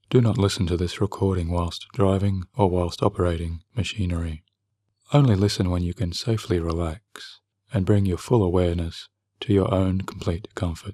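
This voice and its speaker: A man with a very deep, low pitch talks in a soft-spoken, somewhat breathy, calm tone with fairly even intonation, in a dry, close sound with no echo and a very clean recording with a silent background. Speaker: hypnotherapist. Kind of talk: sleep hypnosis session. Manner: soft-spoken, calm; slow.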